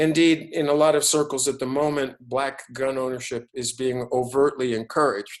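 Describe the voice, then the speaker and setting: In a New York accent, a man talks at a moderate pace with hardly any pauses, using a medium pitch and fairly even intonation. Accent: New York American English. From New York City. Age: 60s. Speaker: business school professor. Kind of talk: online lecture with Q&A. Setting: video webinar. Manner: halting, many repetitions.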